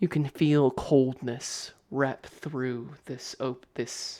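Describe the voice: Fairly even intonation runs through the plain reading aloud.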